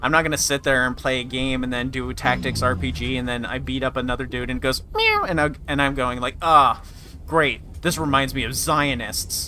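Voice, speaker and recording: A man's pitch rises and falls in an ordinary way while noticeable noise carries on behind him. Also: medium pitch for a man. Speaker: gaming streamer. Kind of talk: live gameplay commentary. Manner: fast.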